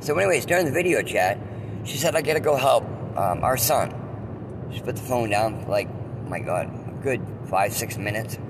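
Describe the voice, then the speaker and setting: Audible room echo and noticeable background noise surround the speaker. A man talks at a moderate pace with lively intonation. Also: medium pitch for a man. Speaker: podcast host. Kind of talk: personal storytelling monologue. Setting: in a car.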